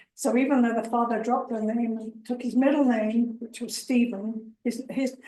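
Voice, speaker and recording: Speaking fairly quickly with an English accent, a woman holds a monotone, flat intonation at a fairly high pitch. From England. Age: 70s. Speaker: family history presenter. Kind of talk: informal talk. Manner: halting.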